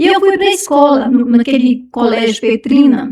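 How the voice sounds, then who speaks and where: This woman's voice sits high in pitch. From Brazil, Minas Gerais. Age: 60s. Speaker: churchgoer sharing life story. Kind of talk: testimony. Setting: podcast interview.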